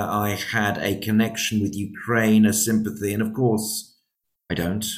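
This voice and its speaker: With a British accent, a man talks at a moderate pace and a fairly low pitch. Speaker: podcast host. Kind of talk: interview.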